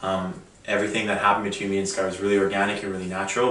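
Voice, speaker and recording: A man talks at a very fast pace in a Canadian accent, his pitch fairly low. Audible room echo and noticeable background noise sit around his voice. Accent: Canadian, stands out in Australia. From Canada. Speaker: reality show contestant. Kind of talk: interview.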